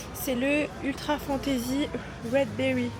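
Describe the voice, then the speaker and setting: Over music in the background, a woman talks in a high pitch. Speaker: fitness content creator. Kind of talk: casual vlog talk to camera. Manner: hesitant, stumbles over words.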